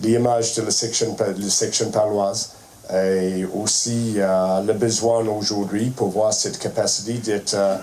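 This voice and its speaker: A man's fairly low, monotone voice with a strong non-native accent at a very slow pace, amid audible room echo and noticeable background noise. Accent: strong foreign accent in French. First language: not French (speaking French). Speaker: rugby head coach. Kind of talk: press conference speech. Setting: press conference room. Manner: halting, many hesitations.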